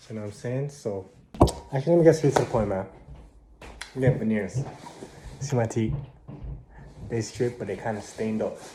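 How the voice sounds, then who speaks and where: Talking at a fairly quick pace, a man uses a medium pitch with ordinary pitch variation. He leaves long, frequent pauses over noticeable background noise. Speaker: vlogger. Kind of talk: casual vlog talk to camera.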